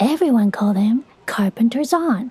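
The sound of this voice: At a moderate pace, a woman speaks with lively intonation and a fairly high pitch, her dark, mellow tone carrying a slightly husky edge.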